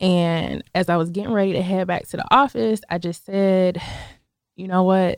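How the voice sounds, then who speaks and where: A woman with an American accent, a normal speaking voice, medium pitch, ordinary pitch variation, moderate pace and a dry, close sound with no echo. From Buffalo, New York. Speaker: financial services business owner. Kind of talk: interview.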